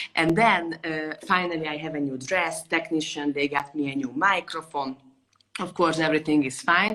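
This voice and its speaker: In a Hungarian accent, a woman speaks with a very deep, low pitch. Her pace is moderate, with ordinary pitch variation. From Hungary, Budapest. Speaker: violinist. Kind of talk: interview. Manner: animated.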